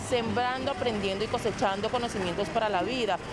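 Female voice with ordinary pitch variation, dry sound with no echo, music in the background. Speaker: TV news reporter. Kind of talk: news field report. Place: street. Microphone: handheld.

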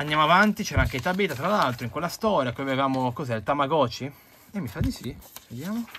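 The speech comes at a very fast pace with lively intonation. Light background noise can be heard. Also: man, fairly high pitch for a man. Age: 20s. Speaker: comic book collector and reviewer; comic book collector, reviewer. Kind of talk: video review monologue. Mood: enthusiastic, nostalgic. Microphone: phone near.

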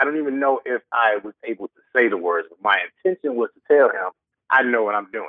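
This man has a normal speaking voice with an American accent and a medium pitch. He talks at a fairly quick pace with lively intonation. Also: big swings in loudness. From Detroit, US Midwest. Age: 30s. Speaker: musician and producer. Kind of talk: interview.

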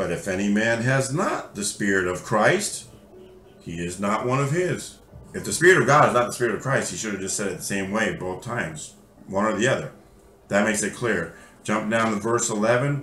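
Background music can be heard. There is audible echo from the room. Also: man, fairly low pitch for a man, moderate pace. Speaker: bible teacher. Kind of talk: sermon. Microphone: webcam.

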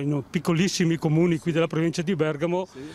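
In a dry sound with no echo, a man with a high pitch speaks very fast with fairly even intonation. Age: 70s. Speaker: passerby. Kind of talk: street interview. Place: street. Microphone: handheld.

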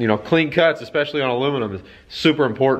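A man speaks at a fairly quick pace, with a quiet background. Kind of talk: casual vlog chat. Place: garage. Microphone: phone near.

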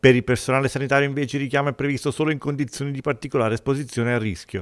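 A man's voice with ordinary pitch variation. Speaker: news reporter. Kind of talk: news reading.

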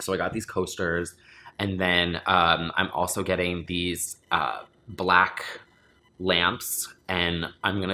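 Low-pitched and slow, a man talks with a bright, sharp tone.

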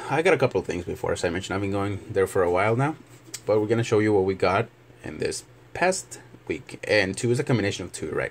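A man talks at a very fast pace in a fairly low, somewhat breathy voice with ordinary pitch variation. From Mexico. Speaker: YouTuber showing flea market finds. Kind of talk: casual video tutorial. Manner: halting, many fillers.

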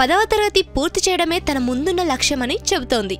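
The recording has a dry sound with no echo and faint music in the background. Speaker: radio presenter. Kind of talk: radio human interest story narration. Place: studio.

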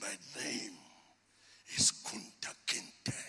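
A man puts on a raspy character voice. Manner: defiant, proud despite weakness.

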